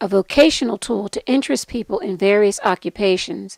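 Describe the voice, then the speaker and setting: A woman's unremarkable speaking voice at medium pitch, with lively intonation, a fairly quick pace and a dry, close sound with no echo. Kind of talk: program introduction narration.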